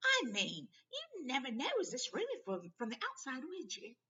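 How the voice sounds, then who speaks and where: In a put-on character voice that sounds female, someone talks at a moderate pace with a high pitch for a woman. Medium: read story. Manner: brisk, motherly.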